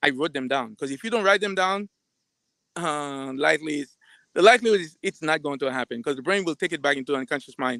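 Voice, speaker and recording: Very fast and lively, a man talks with a bright, sharp tone at a fairly high pitch, recorded dry and close with no echo on a very clean track with a silent background. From Caribbean. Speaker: psychiatrist. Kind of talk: live talk. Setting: live stream. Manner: halting, repeats words.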